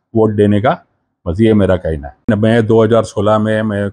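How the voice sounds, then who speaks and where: A man's fairly low voice at a fairly slow pace. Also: quiet background. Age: 60s. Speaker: convicted former defendant, now retired; interviewee. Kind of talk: news interview; interview answer. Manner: halting. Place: home room. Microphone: handheld.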